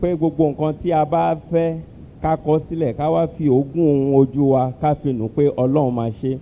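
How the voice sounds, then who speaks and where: A man with a Nigerian accent speaks at a moderate pace with a fairly high pitch and fairly even intonation. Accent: Nigerian (Yoruba) English. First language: Yoruba. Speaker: church interpreter. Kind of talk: church service interpretation.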